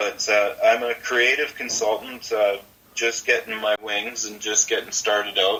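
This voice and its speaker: Someone with a Western Canadian accent talks at a fairly slow pace over noticeable background noise. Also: man. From Ontario, Canada. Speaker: creative consultant for musicians. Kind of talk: interview. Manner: halting, many repetitions and fillers.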